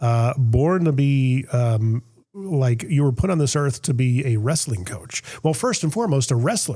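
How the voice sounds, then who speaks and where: A man speaks at a medium pitch in a dark, mellow, somewhat breathy tone. His pace is fairly slow. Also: lively intonation. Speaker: podcast host. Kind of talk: casual chat. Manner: stammering.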